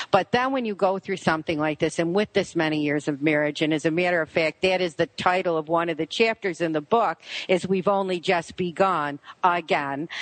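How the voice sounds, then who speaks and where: A woman with a Buffalo accent talks at a fairly quick pace in a fairly low pitch with ordinary pitch variation, recorded dry and close with no echo against a quiet background. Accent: Western New York (Buffalo). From Buffalo, New York. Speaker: radio show host, author, interview guest.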